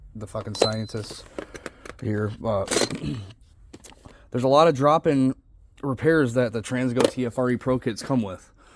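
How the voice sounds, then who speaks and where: Over noticeable background noise, a man of medium pitch talks at a moderate pace with long, frequent pauses. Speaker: transmission builder. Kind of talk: tutorial. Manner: casual, profane.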